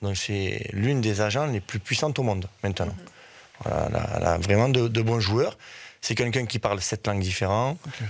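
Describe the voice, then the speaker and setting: A man speaks in a normal speaking voice at a medium pitch and a fairly quick pace. His pitch varies in an ordinary way, on a very clean recording with a silent background. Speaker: football coach. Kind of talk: radio interview.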